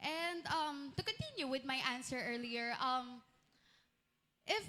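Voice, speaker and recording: A woman with a Chinese accent speaks in a raised, projected voice at a moderate pace. Her pitch is high and her intonation lively. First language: Mandarin (speaking Tagalog). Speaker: student candidate. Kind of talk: answering panel questions. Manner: halting.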